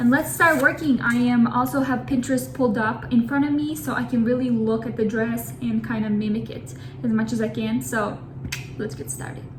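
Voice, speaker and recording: A woman with a very deep, low pitch and very wide pitch swings speaks at a fairly quick pace amid noticeable background noise and audible room echo. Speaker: crochet content creator. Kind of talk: casual tutorial vlog. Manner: animated; fast.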